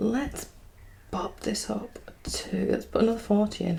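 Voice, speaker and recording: A soft-spoken woman, medium-pitched, at a fairly slow pace. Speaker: single mum budgeting YouTuber. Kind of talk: casual talk to camera. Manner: soft-spoken, chatty.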